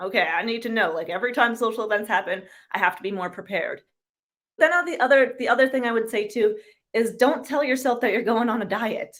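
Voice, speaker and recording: Fairly quick delivery with an animated tone and ordinary pitch variation. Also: woman. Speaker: carnivore diet influencer. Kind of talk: podcast interview. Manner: fast.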